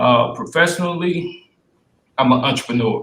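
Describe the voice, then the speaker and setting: A man talks with ordinary rises and falls in pitch, keeping to a medium tempo. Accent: Southern US. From US South, Spartanburg, South Carolina. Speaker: city council candidate, entrepreneur. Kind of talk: candidate forum opening statement. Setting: virtual forum, video call.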